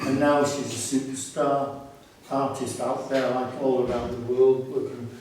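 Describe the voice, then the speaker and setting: Over noticeable background noise and audible room echo, a man talks at a medium pitch and a fairly slow pace. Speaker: gallery curator and artist. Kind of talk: exhibition talk. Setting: gallery event with audience. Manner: halting, repeated words.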